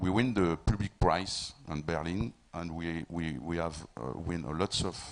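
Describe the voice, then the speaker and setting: A man with a French accent speaks at a fairly slow pace. His very deep, low voice carries vocal fry. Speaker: film producer. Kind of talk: panel discussion. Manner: halting, repeats words.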